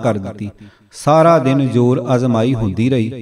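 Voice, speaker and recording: This man's unremarkable speaking voice keeps a fairly even intonation. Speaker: audiobook narrator. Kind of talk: audiobook reading of religious history.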